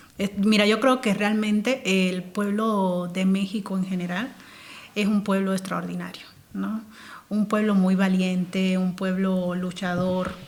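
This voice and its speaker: A woman at medium pitch, fairly slow, with monotone, flat intonation. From central Cuba (Placetas, Villa Clara). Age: 30s. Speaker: interview guest. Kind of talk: casual interview.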